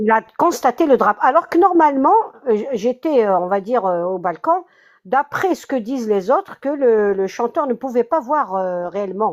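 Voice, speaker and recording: The pace is moderate. Pitch swings very widely throughout. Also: woman, fairly high pitch for a woman. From Kabylie, Algeria. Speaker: concertgoer at center of controversy. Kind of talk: interview testimony. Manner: halting.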